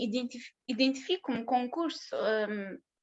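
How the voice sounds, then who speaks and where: A woman speaks very slowly in a high pitch. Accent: non-native. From southern Russia (Maikop), moved to Portugal at 13-14. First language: Russian (speaking Portuguese). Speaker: conference speaker, film production graduate. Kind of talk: conference talk. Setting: online conference. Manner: halting, many fillers and false starts.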